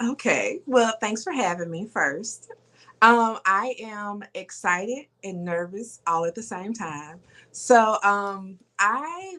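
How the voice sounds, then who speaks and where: A woman's bright, sharp tone at medium pitch, with lively intonation, on a very clean recording with a silent background. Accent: Southern US. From US South, rural Mississippi. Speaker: fashion entrepreneur. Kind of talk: interview.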